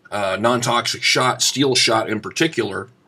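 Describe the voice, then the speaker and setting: Talking at a fairly slow pace in a Southern US accent, a man uses medium pitch, a bright, sharp tone and lively intonation. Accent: rural US Southern-sounding. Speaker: shotgun hunter and YouTuber. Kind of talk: informal explanatory tutorial. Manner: casual with many filler sounds.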